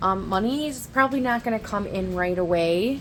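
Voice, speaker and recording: A woman talks at a moderate pace. Her pitch sits in the middle range. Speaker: tarot reader. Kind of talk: tarot reading monologue. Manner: halting, many fillers.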